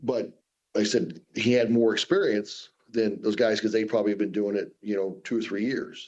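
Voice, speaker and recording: A man with an American accent and a plain, everyday voice, fairly low in pitch, at a moderate pace with fairly even intonation. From US Southwest, Phoenix. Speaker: professional strongman. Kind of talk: radio interview.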